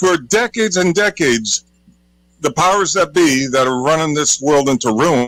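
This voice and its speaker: Fairly high in pitch, a man talks at a moderate pace in a plain, everyday voice. His loudness stays very even, and the sound is dry and close with no echo. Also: lively intonation. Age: 60s. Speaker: caller. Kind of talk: casual chat.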